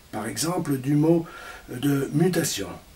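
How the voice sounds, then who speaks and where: A man with a fairly high pitch speaks at a very slow pace. His intonation is lively, and there is noticeable background noise. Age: 60s. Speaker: presenter of a spiritual book. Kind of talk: presentation talk. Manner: formal.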